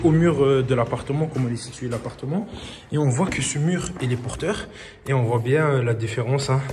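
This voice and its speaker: There is audible room echo and noticeable background noise. Through it, a man speaks with a fairly high pitch. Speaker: property renovator. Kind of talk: video walkthrough tutorial. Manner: halting, many fillers.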